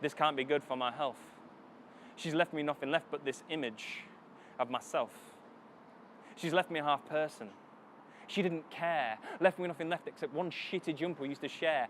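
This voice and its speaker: Using a Northern English accent, a man speaks with long, frequent pauses. His pitch is fairly high, with ordinary variation. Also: moderate pace. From Northern England. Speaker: spoken word poet. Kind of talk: spoken word poetry performance. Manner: dramatic.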